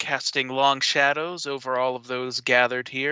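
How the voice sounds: A natural reading voice is heard throughout the clip.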